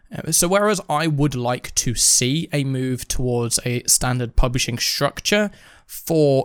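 A man with a British accent speaks with ordinary pitch variation in a very clean recording with a silent background, the sound dry and close with no echo. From Britain. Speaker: podcast co-host. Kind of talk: casual chat.

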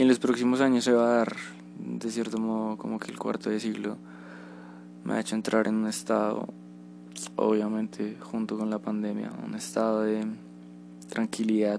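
The pace of this man's speech is moderate. Long pauses break it up frequently. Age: 20s. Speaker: podcaster. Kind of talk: personal reflection monologue.

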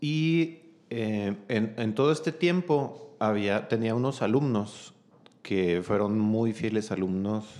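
Here a man speaks at a very slow pace. His voice is medium in pitch, with lively intonation. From Chihuahua, Mexico. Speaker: cellist, singer and music school director. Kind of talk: casual interview chat.

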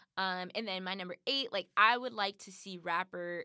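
A woman speaks in a medium pitch with a bright, sharp tone and ordinary pitch variation. The very clean recording has a silent background and a dry, close sound with no echo. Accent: American. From Compton, Los Angeles, California. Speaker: podcast co-host. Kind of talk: casual chat.

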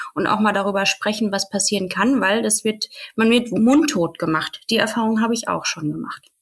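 With a normal speaking voice, a woman speaks at a moderate pace, her pitch fairly high with ordinary variation, on a very clean recording with a silent background. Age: 30s. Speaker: podcast guest sharing personal birth story. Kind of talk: personal testimony in interview.

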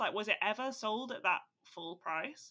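Her voice is raised and projected, with a bright, sharp tone. The woman moves at a moderate pace through very wide pitch swings. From England, Staffordshire. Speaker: podcast co-host, marketing professional. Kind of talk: casual chat.

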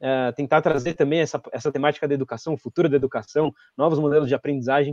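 A man's fairly high-pitched voice with a dark, mellow tone, in a dry, close sound with no echo. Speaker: event organizer. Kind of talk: event hosting.

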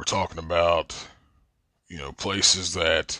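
In a very clean, silent recording with a dry, close sound and no echo, a man with an Appalachian accent speaks very slowly at a very deep, low pitch in a bright, sharp tone. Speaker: podcast host. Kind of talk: casual monologue.

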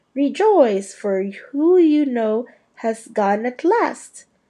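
In a put-on character voice, a woman squeaks at a high pitch with very wide pitch swings. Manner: gleeful, jubilant.

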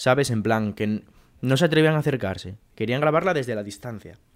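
A man talks at a fairly quick pace with lively intonation, at medium pitch. An ordinary speaking voice. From Asturias, Spain (Mieres). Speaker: podcast co-host. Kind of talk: casual chat. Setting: home.

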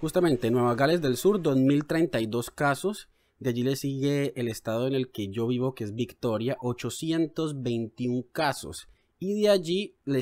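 A man's dark, mellow tone at medium pitch, very slow with lively intonation, on a very clean recording with a silent background. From Colombia, Cali. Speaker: journalist and podcast co-host. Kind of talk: casual news discussion.

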